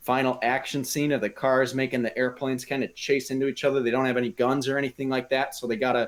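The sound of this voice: The clip carries an unforced reading voice throughout.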